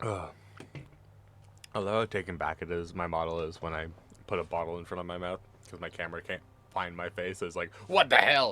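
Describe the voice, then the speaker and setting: A quiet man with a very deep, low pitch and a bright, sharp tone, at a fairly quick pace with fairly even intonation and long, frequent pauses. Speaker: vtuber streamer. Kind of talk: casual gaming stream chat. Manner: normally quiet.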